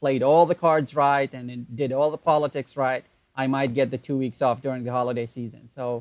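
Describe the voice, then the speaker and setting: A man with an Arabic accent speaks at a fairly high pitch with fairly even intonation. The sound is dry and close with no echo, on a very clean recording with a silent background. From Iraq, Baghdad. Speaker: online entrepreneur. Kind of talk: interview.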